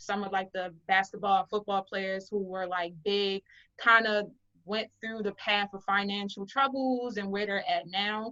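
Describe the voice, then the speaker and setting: In a Baltimore accent, a woman speaks at a fairly slow pace in a bright, sharp tone. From Baltimore, Maryland, US. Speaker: artist and business owner. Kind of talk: interview.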